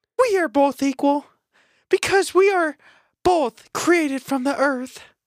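A put-on character voice is used here. The delivery comes at a fairly slow pace. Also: man, extremely high pitch for a man. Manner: strained, attempted female voice.

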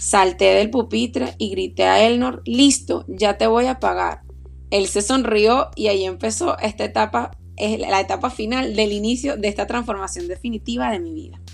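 A woman with a Venezuelan accent at a moderate pace. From Venezuela, Aragua. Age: 30s. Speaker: podcast host, doctor and running coach. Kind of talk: personal storytelling monologue.

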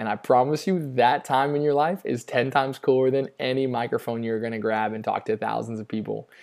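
This man has an ordinary speaking voice at medium pitch with ordinary pitch variation. He talks at a fairly quick pace with hardly any pauses, in a very clean recording with a silent background. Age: 30s. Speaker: podcast host. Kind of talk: solo monologue. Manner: casual, filler-heavy.

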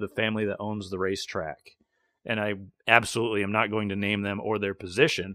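A man talks at a fairly quick pace and a medium pitch. He has an ordinary speaking voice. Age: 30s. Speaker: racing podcast host and race car mechanic. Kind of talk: casual chat.

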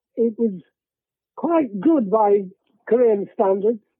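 A man with an English accent speaks fairly slowly in a high voice. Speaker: war veteran. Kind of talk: elderly veteran recounting wartime captivity in plain, unvarnished storytelling. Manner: rambling, conversational, with fillers and repeated words; matter-of-fact about grim hardship.

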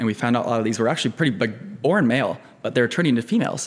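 In an American accent, a man speaks very fast at a medium pitch. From US Midwest, eastern Iowa (Cedar Rapids). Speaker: pharmacy student and former cancer researcher. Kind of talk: casual interview.

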